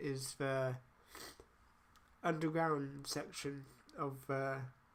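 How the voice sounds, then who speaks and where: A man speaks at a very slow pace. His intonation is fairly even. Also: long, frequent pauses. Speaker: university games design student. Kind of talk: game level walkthrough voiceover. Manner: casual, hesitant.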